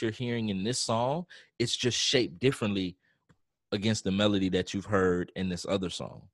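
Against a quiet background, a man speaks with ordinary pitch variation in a dry, close sound with no echo. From Texas, Rosenberg near Houston. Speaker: band director and music teacher. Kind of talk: casual interview conversation.

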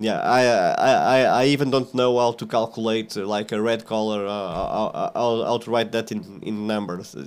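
A man with a Portuguese accent, medium pitch, fairly even intonation and moderate pace, on a very clean recording with a silent background. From central Portugal, small village. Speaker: software developer. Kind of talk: casual interview. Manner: halting, many fillers and repeats.

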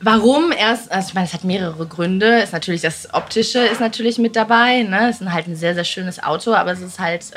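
Noticeable background noise sits behind a woman's voice. She talks at a very fast pace with hardly any pauses and ordinary pitch variation. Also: medium pitch for a woman. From East Belgium. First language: not German (speaking German). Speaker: entrepreneur and mother. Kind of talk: casual chat.

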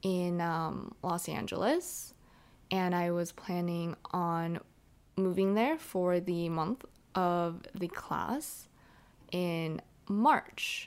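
A woman with a fairly low pitch speaks at a very slow pace. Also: very clean recording, silent background. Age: 20s. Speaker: podcast co-host. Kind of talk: casual chat.

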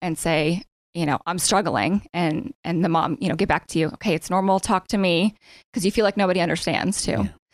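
A woman with an American accent and an unremarkable speaking voice, fairly low in pitch with ordinary pitch variation, at a fairly quick pace, in a very clean, dry, close recording with a silent background and no echo. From Erie area, Pennsylvania. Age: 30s. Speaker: nonprofit founder, bereaved mother. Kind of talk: interview.

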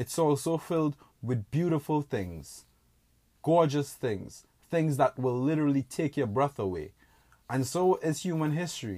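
A man's fairly high voice with a dark, mellow tone and lively intonation at a moderate pace, dry and close with no echo, on a very clean recording with a silent background. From Trinidad and Tobago. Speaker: podcast host. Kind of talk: monologue. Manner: casual.

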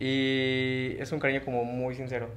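Audible room echo is present. It comes from a man's voice. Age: 20s. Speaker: guest in a polyamorous relationship. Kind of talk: casual chat.

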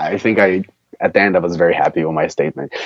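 A man speaks in a Brazilian Portuguese accent. The sound is dry and close, without echo. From Brazil, countryside of São Paulo state. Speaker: premed student. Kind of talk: interview. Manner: halting, many fillers.

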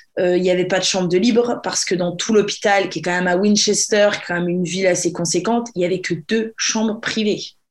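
Here a woman uses an unremarkable speaking voice of medium pitch, with fairly even intonation. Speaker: podcast host. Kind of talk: casual chat.

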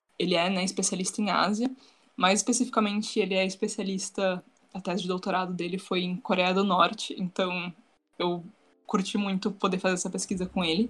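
A woman's somewhat breathy voice at medium pitch, with fairly even intonation. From São Paulo state, Brazil. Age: young. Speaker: student and social media influencer. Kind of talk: casual podcast chat.

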